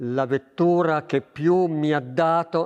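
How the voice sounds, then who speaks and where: This is a man speaking. His pitch is fairly high. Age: 70s. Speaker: racing engine mechanic. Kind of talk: interview.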